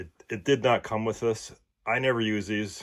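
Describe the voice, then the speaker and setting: Music plays in the background. The speaker talks at a moderate pace with a Minnesotan accent. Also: man. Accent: Minnesota. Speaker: tool reviewer YouTuber. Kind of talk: product unboxing and demonstration. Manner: casual, hesitant with fillers.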